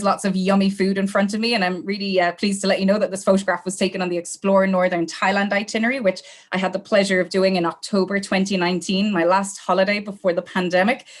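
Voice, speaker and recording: A woman speaks with an Irish accent at a medium pitch. Her pace is very fast. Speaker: travel company sales manager. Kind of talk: webinar sales training. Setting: online webinar, camera off. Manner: casual, friendly with fillers.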